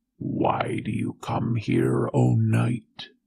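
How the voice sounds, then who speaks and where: A growling, put-on character voice. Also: man, very deep, low pitch for a man. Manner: menacing, challenging.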